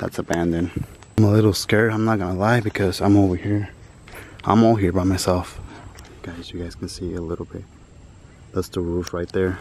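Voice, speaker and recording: A man talks at a fairly quick pace in a very deep, low voice with monotone, flat intonation. The sound is dry with no echo, over light background noise. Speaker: urban explorer vlogger. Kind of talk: casual vlog chat. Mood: slightly nervous. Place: open country. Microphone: phone near.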